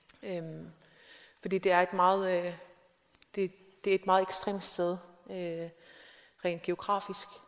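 A woman with a medium pitch speaks very slowly in a monotone, flat intonation, leaving long, frequent pauses. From South Greenland, small town. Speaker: novelist. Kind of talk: onstage interview. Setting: stage with audience. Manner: halting, many fillers.

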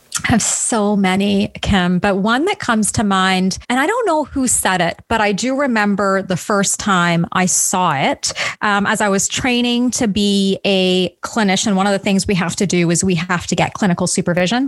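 This woman has a normal speaking voice at medium pitch, with ordinary pitch variation, very even loudness, a moderate pace and hardly any pauses. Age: 40s. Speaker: relationship coach. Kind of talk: interview.

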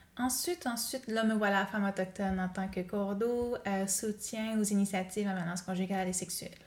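In a normal speaking voice, a woman talks at a fairly quick pace and medium pitch, with fairly even intonation and hardly any pauses. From Quebec North Shore (Pessamit Innu community). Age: 20s. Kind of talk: interview conversation.

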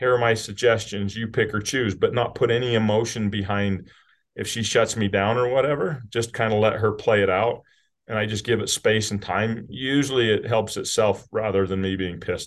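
Speaking in an American accent, a man with a normal speaking voice and medium pitch talks at a moderate pace with fairly even intonation. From US, rural southern Utah. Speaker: business CEO. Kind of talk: casual interview chat.

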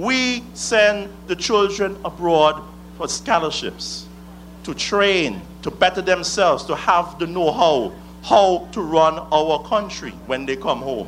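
A man with an Antiguan accent speaks at a very slow pace. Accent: Antiguan Caribbean English. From Antigua and Barbuda. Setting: rally stage with audience. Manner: fiery, accusatory, declamatory with call-and-response pauses.

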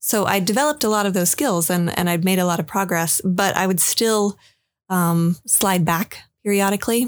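A woman speaks at medium pitch and a moderate pace, with ordinary pitch variation and very even loudness. The recording is very clean, with a silent background. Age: 30s. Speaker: therapy client sharing her experience. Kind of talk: personal testimony interview. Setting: studio. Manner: hesitant, many filler ums.

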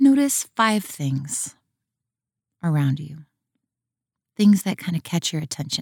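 In a calm tone, a woman with a fairly low, somewhat breathy voice speaks with very wide pitch swings and long, frequent pauses, the sound dry and close with no echo. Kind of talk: guided meditation. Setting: audio walking meditation guide for listeners outdoors. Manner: soft-spoken, calm and inviting.

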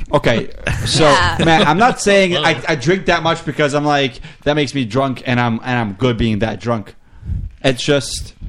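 Music playing behind a man speaking at a fairly high pitch. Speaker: podcast guest.

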